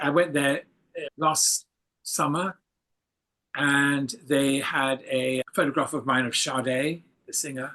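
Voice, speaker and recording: A man with a fairly high pitch and a bright, sharp tone. He speaks at a fairly slow pace with fairly even intonation. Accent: English. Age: 70s. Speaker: photographer. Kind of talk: casual interview.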